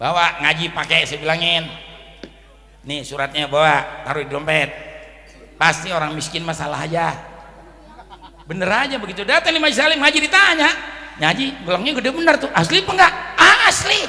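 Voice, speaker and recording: A man talks in an animated tone at a fairly quick pace, broken by long, frequent pauses. Room echo is audible, and background noise is noticeable. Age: 60s. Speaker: Islamic cleric. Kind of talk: sermon.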